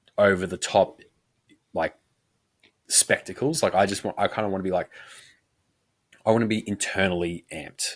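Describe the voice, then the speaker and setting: On a very clean recording with a silent background and a dry, close sound with no echo, a man speaks at a moderate pace in a fairly low pitch with ordinary pitch variation and long, frequent pauses. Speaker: powerlifting coach and podcast co-host. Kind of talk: casual chat. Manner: conversational, casual; quiet close talk.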